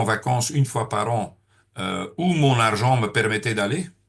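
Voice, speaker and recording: The man's voice is somewhat breathy. His pitch moves with ordinary variation. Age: 60s. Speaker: network marketing trainer. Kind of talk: training seminar. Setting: room with audience. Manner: hesitant, many filler sounds.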